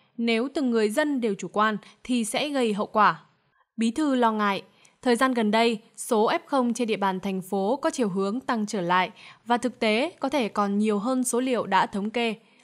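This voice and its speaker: A woman with a plain, everyday voice speaks at a moderate pace, with fairly high pitch and ordinary pitch variation. The recording is very clean, with a silent background. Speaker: news presenter. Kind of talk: news reading. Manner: formal.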